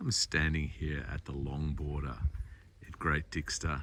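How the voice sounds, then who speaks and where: A man speaks quietly with vocal fry. His very deep, low voice moves at a fairly slow pace. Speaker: garden designer / tour guide. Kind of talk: casual walking talk to camera. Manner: quiet, low-pitched.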